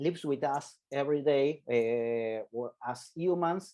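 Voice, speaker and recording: A man's dark, mellow tone with lively intonation. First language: not English. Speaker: legal scholar on genocide. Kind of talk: panel presentation. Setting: video call. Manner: halting, many fillers.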